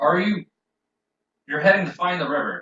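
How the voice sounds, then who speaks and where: A man puts on a character voice. He talks at a high pitch. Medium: actual play. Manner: gruff and suspicious.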